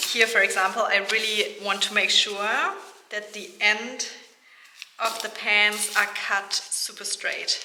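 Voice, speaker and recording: A woman speaks very slowly in a fairly high, monotone voice with flat intonation. Noticeable background noise runs under her. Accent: non-native. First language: not English. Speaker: sewing youtuber. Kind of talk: tutorial. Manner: casual, with fillers.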